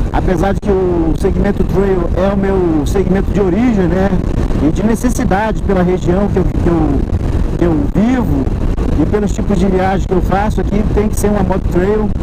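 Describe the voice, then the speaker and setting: A man at a moderate pace, with long, frequent pauses, over loud background noise. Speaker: motorcycle channel host. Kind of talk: casual vlog chat. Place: motorbike. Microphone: helmet.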